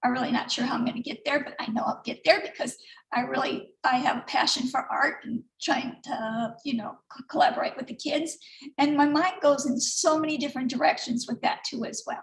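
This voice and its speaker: A woman speaks at a fairly quick pace in a high voice. Her pitch varies in an ordinary way. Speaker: artist and online business member. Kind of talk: personal sharing at online event. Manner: fast; halting.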